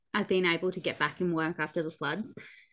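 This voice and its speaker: A woman's fairly low voice in an Australian accent over a quiet background. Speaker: podcast co-host, barrel racer. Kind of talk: casual chat.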